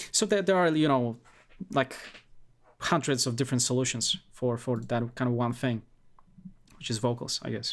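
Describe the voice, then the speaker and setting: A non-native accent at a moderate pace with ordinary pitch variation and long, frequent pauses, on a very clean recording with a silent background. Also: man, medium pitch for a man. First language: not English. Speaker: music producer streamer. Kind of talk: casual live stream feedback. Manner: halting.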